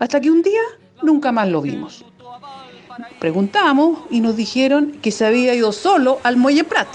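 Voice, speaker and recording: A woman speaks at a fairly slow pace in a high pitch, with very wide pitch swings, long and frequent pauses, and noticeable background noise. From Chile, Valparaíso. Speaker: listener sharing childhood memories. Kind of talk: recorded anecdote.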